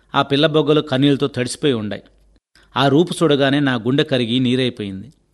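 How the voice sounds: This is a natural reading voice.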